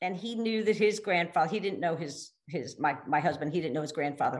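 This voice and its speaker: A woman with an American accent talks at a fairly quick pace in a fairly low pitch. She has a normal speaking voice with ordinary pitch variation. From Pennsylvania. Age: 60s. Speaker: financial advisor. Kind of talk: casual chat.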